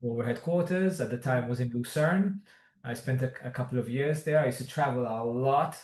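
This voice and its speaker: A man talks in a somewhat breathy voice. His pitch is medium, with ordinary pitch variation. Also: fairly quick pace. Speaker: language school executive. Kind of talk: interview.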